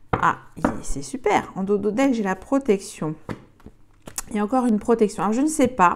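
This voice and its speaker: Noticeable background noise behind speech of moderate speed and ordinary pitch variation. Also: woman. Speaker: tarot card reader. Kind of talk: tarot reading. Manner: halting, many fillers.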